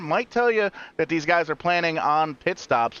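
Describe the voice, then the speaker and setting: With a bright, sharp tone and lively intonation, a man talks in an animated way, the sound dry and close with no echo. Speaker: sim racing commentator. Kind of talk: live commentary. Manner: fast.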